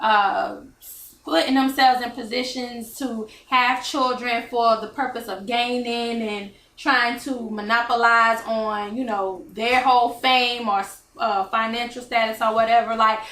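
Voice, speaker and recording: In a room with audible echo, a woman talks at a fairly slow pace, her fairly high voice keeping a fairly even intonation. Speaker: talk show host. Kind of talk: casual chat. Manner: slurring slightly.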